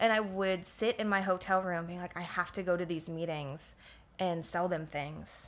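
With an American accent, a woman speaks in a plain, everyday voice at a fairly low pitch, a moderate pace, and fairly even intonation. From Florida, US (Orlando). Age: 20s. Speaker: yoga and meditation teacher. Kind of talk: casual chat.

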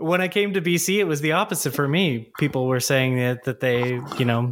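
A man's fairly high voice in a Canadian accent, with ordinary pitch variation and noticeable background noise. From Ontario, Canada. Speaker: podcast host. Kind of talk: interview; casual chat.

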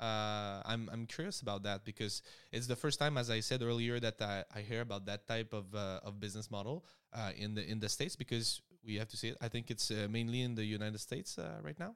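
This man, in a French accent, talks at a very fast pace with a medium pitch and ordinary pitch variation. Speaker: podcast host. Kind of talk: interview. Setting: video call. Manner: halting.

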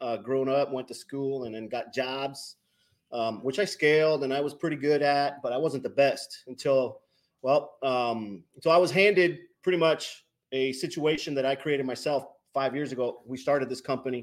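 A man with an ordinary speaking voice at fairly high pitch, moderate pace and ordinary pitch variation. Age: 40s. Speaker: business owner, trailer manufacturer. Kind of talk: casual interview chat.

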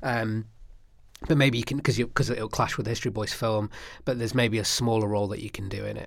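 Speaking very fast with a Manchester accent, a man uses a medium pitch and fairly even intonation on a very clean recording with a silent background. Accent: Manchester area English. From northern England, Stockport. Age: 30s. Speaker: actor. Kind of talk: casual chat.

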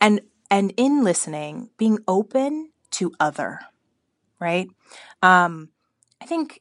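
An American accent with lively intonation at a very slow pace, over a quiet background. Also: woman. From California, US (Bakersfield). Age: young. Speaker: media creative director. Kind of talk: interview. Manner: halting, with many fillers and repeats.

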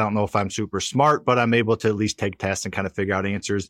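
Over a quiet background, a man with a Midwestern American accent speaks at a fairly low pitch. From US Midwest (Missouri, near St. Louis). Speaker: real estate investor. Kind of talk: interview.

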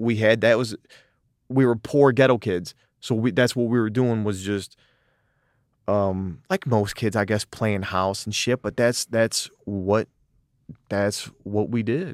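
A medium-pitched man with an American accent and long, frequent pauses, on a very clean recording with a silent background and a dry, close sound with no echo. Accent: Detroit working-class American. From US Midwest, Southwest Detroit. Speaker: actor. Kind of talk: casual chat. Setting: studio. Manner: animated, fast and spontaneous.

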